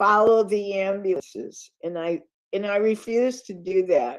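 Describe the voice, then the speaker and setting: Against a quiet background, a woman with an American accent speaks at a fairly slow pace with a medium pitch. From upstate New York. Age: 70s. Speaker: guest speaker. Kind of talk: sermon-style talk.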